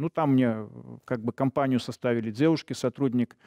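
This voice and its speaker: Against a quiet background, a man talks with a dark, mellow tone and fairly even intonation. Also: dry sound with no echo. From Belarus. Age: old. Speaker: retired police officer; guest. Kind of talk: interview testimony; interview answer. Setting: studio. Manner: hesitant, filler-heavy. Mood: emotional, recounting violence. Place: studio. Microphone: lapel.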